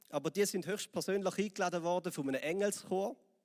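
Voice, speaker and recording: Someone with a Swiss accent talks at a moderate pace, in a dry, close sound with no echo on a very clean recording with a silent background. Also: man. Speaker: pastor. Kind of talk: sermon.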